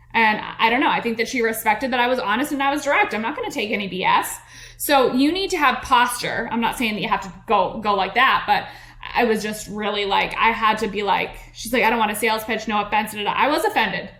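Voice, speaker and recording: Speaking at a very fast pace, a woman sounds animated, with a fairly high pitch and ordinary pitch variation. Room echo is audible, and background noise is noticeable. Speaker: podcast host and network marketing coach. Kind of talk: business coaching podcast monologue.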